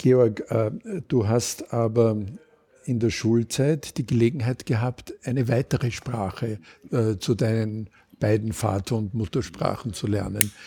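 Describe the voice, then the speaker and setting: Somewhat breathy and fairly slow, a man speaks at medium pitch with ordinary pitch variation on a very clean recording with a silent background. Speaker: community radio host. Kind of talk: interview. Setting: Viennese coffee house.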